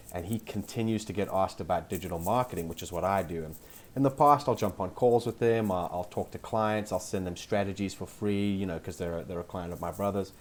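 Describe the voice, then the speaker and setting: A man's fairly low voice with a South African accent, at a very fast pace with hardly any pauses. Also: ordinary pitch variation. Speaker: SEO specialist. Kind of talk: podcast interview.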